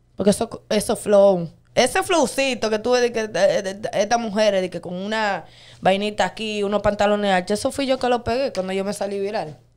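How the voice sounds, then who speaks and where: In a quiet background, a woman talks at a fairly quick pace with a medium pitch and ordinary pitch variation. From Dominican Republic. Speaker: viral dancer and social media personality; interview guest. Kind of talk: interview. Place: studio. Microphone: studio mic.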